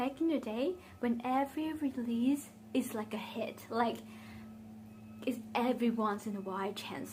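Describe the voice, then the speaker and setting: With a Vietnamese accent, a woman speaks with vocal fry and ordinary pitch variation. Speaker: beauty vlogger. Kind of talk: casual chat. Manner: conversational, with fillers.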